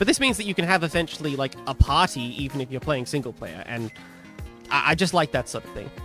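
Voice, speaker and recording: Over background music, a man talks very fast in a fairly high pitch with lively intonation and big swings in loudness. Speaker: modpack developer. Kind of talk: casual gaming devlog talk.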